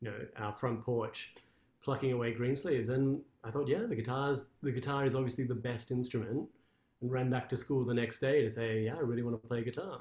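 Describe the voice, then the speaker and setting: A man's somewhat breathy voice with an Australian accent, fairly even intonation and a fairly quick pace. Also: medium pitch for a man. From Australia, Canberra. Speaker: classical guitarist. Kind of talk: interview.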